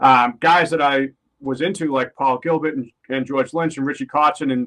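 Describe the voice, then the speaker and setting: A man speaks at a moderate pace with a Boston accent. His pitch is fairly high and his intonation fairly even. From Boston, US. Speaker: metal guitarist. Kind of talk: podcast interview. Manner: casual, with fillers.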